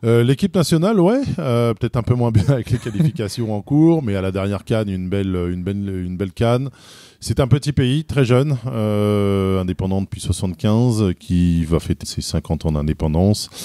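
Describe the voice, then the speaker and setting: A man's dark, mellow, fairly low voice with lively intonation at a moderate pace, on a very clean recording with a silent background and a dry, close sound with no echo. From France, Paris area (Boulogne-Billancourt). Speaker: football fan. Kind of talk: interview. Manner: hesitant, many fillers.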